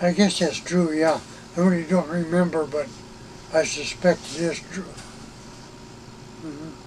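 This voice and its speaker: Over noticeable background noise, a man with a high-pitched voice speaks at a moderate pace in a flat, monotone way, leaving long, frequent pauses. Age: 80s+. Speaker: retired air force officer. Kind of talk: interview. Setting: in an RV.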